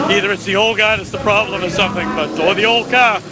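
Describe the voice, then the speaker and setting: With noticeable background noise around him, a man speaks very fast. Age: 60s. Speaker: race car driver. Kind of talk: post-race interview. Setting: outdoors at racetrack, victory lane.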